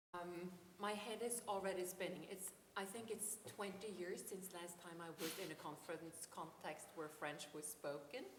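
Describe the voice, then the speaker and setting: Amid noticeable background noise and audible room echo, a woman with a Norwegian accent speaks at a moderate pace and medium pitch. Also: ordinary pitch variation. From Norway, Oslo. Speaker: philosophy professor. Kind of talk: academic conference talk. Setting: conference. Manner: hesitant, many ums.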